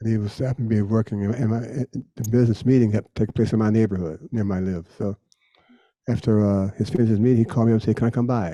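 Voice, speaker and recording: This man talks at a very fast pace in a medium pitch, with a dark, mellow tone and fairly even intonation. The sound is dry and close, with no echo. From United States. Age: 80s+. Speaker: jazz bassist. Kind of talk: interview answer.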